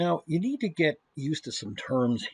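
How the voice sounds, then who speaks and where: Recorded with a dry, close sound and no echo, a man talks at a moderate pace with a fairly high pitch and lively intonation. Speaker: university professor. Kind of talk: lecture.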